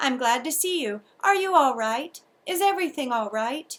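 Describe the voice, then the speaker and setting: A woman speaks at a moderate pace in a high-pitched, put-on character voice. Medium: read story. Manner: eager, friendly.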